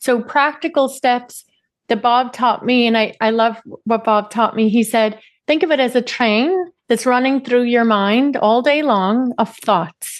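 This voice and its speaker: Speaking fairly slowly, a woman uses a high pitch with ordinary pitch variation. She talks in a Northern Irish accent. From Northern Ireland, Derry. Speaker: CEO and personal development coach. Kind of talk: podcast interview.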